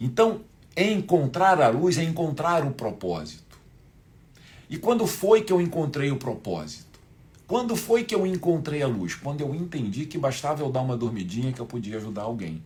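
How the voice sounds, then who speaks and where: A man talks at a moderate pace in a fairly high pitch, with vocal fry. His pitch swings very wide. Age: 60s. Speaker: spiritual teacher. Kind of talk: live online class. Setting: livestream.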